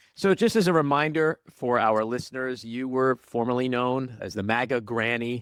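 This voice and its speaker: Over a very clean recording with a silent background, a man talks at a medium pitch and a moderate pace in an unremarkable speaking voice. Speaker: podcast host. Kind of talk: interview questions.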